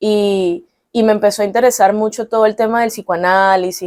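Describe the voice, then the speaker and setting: A woman with a Caracas Venezuelan accent, medium-pitched, with a dark, mellow tone, fairly even intonation and a moderate pace, recorded dry and close with no echo. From Venezuela, Caracas. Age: 30s. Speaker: psychologist. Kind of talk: interview.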